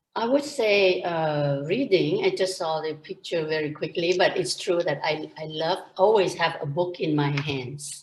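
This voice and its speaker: With a Thai accent, a woman speaks at a fairly slow pace in a fairly low pitch, her intonation lively. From Thailand. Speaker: entrepreneur and pharmacist. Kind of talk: interview.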